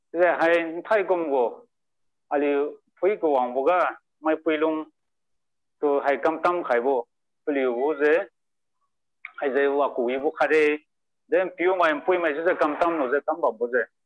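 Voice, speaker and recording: Speaking with a Northeast Indian accent, a man uses a fairly high pitch and fairly even intonation at a moderate pace, with long, frequent pauses. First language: Liangmai. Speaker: result announcer. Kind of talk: announcement. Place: home room. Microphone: video call.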